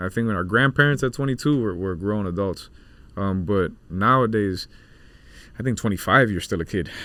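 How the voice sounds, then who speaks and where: A man's fairly low, bright, sharp voice at a moderate pace, with ordinary pitch variation. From South Florida, Cuban-American family. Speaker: comedian and internet personality. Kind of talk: casual podcast interview.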